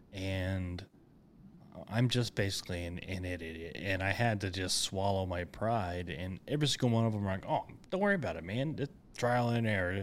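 The speaker has an unremarkable speaking voice and a moderate pace, with ordinary pitch variation. The recording is very clean with a silent background. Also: man, fairly low pitch for a man. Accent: American. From Oklahoma (Enid). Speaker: podcast host, veteran. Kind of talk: casual interview.

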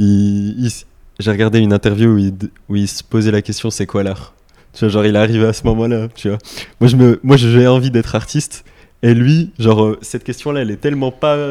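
A man at medium pitch talks at a fairly quick pace with long, frequent pauses, on a very clean recording with a silent background. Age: 20s. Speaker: graphic designer. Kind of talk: casual chat. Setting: in person in Lille.

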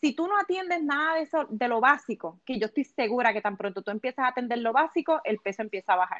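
Against a quiet background, a woman with a high pitch races at a very fast pace with hardly any pauses and very wide pitch swings, the sound dry and close with no echo. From Puerto Rico. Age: 30s. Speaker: weight loss coach. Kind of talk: casual interview.

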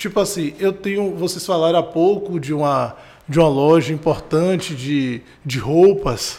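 This man's voice sits high for a man. He talks at a fairly slow pace. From Brazil, Salvador (Bahia). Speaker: regional business-support manager, economist. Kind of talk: podcast interview.

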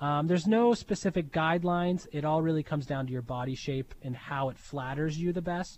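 A man with an unremarkable speaking voice and an American accent, at a fairly high pitch and a fairly quick pace, with ordinary pitch variation. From Pittsburgh, Pennsylvania. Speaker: tailor shop owner. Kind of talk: interview.

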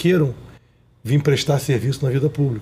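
This man talks at a moderate pace and a medium pitch. His pitch varies in an ordinary way. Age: 40s. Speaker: businessman and political candidate. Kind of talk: interview.

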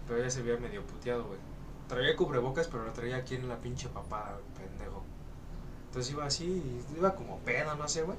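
A man at medium pitch with ordinary variation, talking at a fairly quick pace, with noticeable background noise and audible room echo. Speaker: podcast co-host. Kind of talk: casual chat. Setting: recording room facing a busy avenue.

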